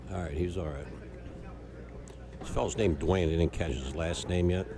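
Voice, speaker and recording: Soft-spoken and fairly quick, a man talks in a very deep, low pitch with ordinary pitch variation, and audible room echo surrounds his voice. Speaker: pool match commentator. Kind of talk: live commentary. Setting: pool hall.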